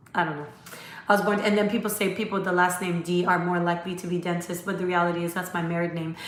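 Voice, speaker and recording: Amid noticeable background noise and audible room echo, a woman with a medium pitch speaks in an animated tone. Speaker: dentist. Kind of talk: live stream Q&A. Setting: live stream from laptop. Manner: fast.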